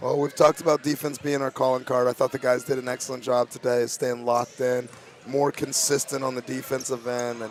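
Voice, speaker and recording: Over noticeable background noise, the speaker goes at a fairly quick pace in a monotone, flat intonation. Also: man. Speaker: high school basketball coach. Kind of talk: post-game interview. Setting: school gymnasium.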